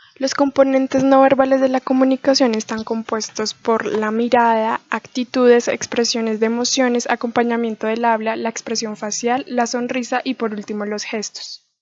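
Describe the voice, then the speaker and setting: The sound is dry and close with no echo as a soft-spoken woman talks in a high pitch with monotone, flat intonation. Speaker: student. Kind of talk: class presentation. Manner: fast.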